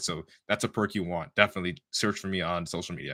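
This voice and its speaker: In a Toronto accent, a man talks at a very fast pace with a bright, sharp tone. The recording is very clean, with a silent background. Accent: Canadian English, Toronto. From Canada, Toronto. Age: 20s. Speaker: bodybuilder and podcast host. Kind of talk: casual monologue on a live stream. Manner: animated.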